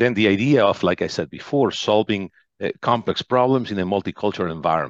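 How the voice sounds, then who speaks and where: A man with a Spanish accent, fairly low in pitch, at a very fast pace with lively intonation. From Argentina, western wine region. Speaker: business executive. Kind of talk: interview. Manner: halting, many fillers and repetitions.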